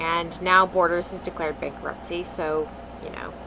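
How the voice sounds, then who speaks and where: A woman speaks at a moderate pace amid noticeable background noise. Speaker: vlogger. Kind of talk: casual talk to camera.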